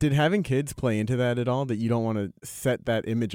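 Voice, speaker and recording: Dark, mellow tone from a man, with ordinary pitch variation. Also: dry, close sound with no echo. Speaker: podcast host. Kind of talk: interview.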